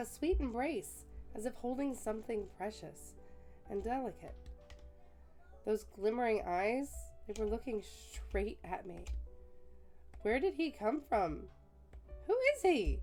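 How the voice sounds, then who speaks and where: A raspy put-on character voice at a fairly slow pace, with long, frequent pauses and music in the background. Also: woman. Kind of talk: read-aloud game narration. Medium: game stream. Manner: soft, reflective reading.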